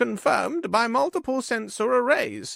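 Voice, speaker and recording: Extremely high in pitch, a man's put-on character voice moves at a moderate pace. The recording is very clean, with a silent background. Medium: read story. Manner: quiet, restrained.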